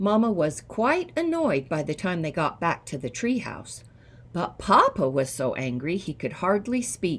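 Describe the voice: Reading aloud, plain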